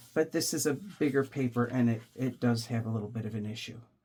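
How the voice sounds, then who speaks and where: A woman speaks at a moderate pace as music plays in the background. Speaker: junk journal crafter. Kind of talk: craft tutorial talk to camera.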